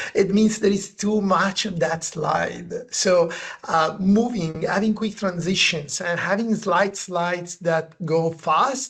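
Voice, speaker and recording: With a non-native accent, a man speaks at a very slow pace yet with hardly any pauses, his high pitch kept to fairly even intonation. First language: not English. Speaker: presentation design consultant and author. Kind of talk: webinar conversation. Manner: halting.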